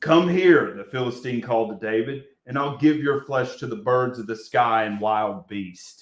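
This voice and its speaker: A man puts on a booming character voice at medium pitch, moving at a moderate pace with hardly any pauses. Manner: threatening, taunting.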